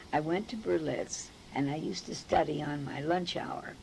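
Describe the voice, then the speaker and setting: A woman speaks at a very deep, low pitch with vocal fry. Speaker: member of a secular institute, storyteller. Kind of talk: personal storytelling, oral history.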